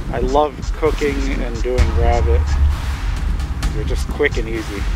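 With clear music in the background, a man talks at a fairly slow pace in a dry sound with no echo. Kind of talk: casual vlog chat. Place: forest. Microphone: phone near.

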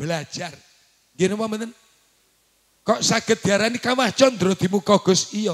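A man's high, animated voice at a moderate pace, with ordinary pitch variation, long, frequent pauses and a quiet background. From Java, Indonesia. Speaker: Islamic preacher. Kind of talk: sermon. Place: hall. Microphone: handheld.

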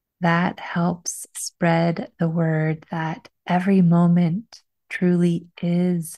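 Against a quiet background, the voice moves at a very slow pace, dark, mellow and somewhat breathy. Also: woman. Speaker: podcast host. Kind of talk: podcast intro monologue. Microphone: studio mic.

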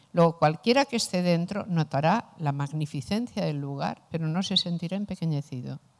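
In an ordinary speaking voice, a woman talks at a moderate pace with a fairly low pitch and hardly any pauses. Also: quiet background. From Spain. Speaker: philosopher; philosopher lecturer. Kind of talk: lecture. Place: classroom. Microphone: handheld.

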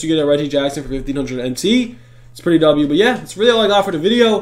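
Animated in tone, a man with a high pitch speaks at a very fast pace. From Greek heritage. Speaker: gaming YouTuber. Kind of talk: gaming tutorial. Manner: casual, animated.

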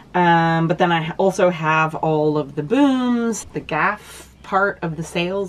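A woman with a fairly low pitch speaks at a very slow pace. Light background noise can be heard. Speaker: boat owner vlogger. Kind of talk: casual vlog chat. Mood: earnest, upbeat. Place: boat. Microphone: phone near.

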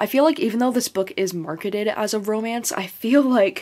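A woman speaks at a moderate pace in a medium pitch, her tone slightly mellow and her pitch variation ordinary.

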